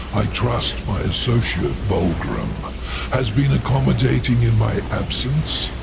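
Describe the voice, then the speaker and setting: A man performs a put-on character voice fairly slowly as loud background noise plays. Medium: machinima. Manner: smooth, condescending.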